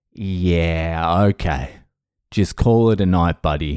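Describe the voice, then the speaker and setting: A man speaks in an Australian accent with ordinary pitch variation. The recording is very clean, with a silent background. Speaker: comedian, sobriety podcast host. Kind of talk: casual podcast monologue. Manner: profane, candid, conversational.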